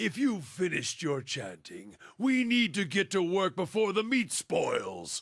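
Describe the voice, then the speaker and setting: Using a put-on character voice, a man speaks at a moderate pace with a high pitch and hardly any pauses. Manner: gruff, dismissive.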